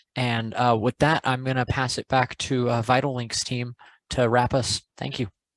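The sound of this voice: This man's voice sits at a medium pitch and moves very little. The sound is dry and close, with no echo. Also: moderate pace.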